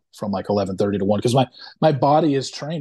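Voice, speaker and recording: A man's normal speaking voice, medium in pitch with ordinary pitch variation, over a quiet background. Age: 40s. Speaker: reality TV blogger and podcaster. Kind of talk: casual chat.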